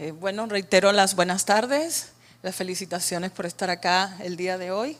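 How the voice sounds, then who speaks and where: The speech moves at a moderate pace with fairly even intonation, on a very clean recording with a silent background. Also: woman. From Cuba. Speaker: workshop facilitator. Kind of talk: training workshop.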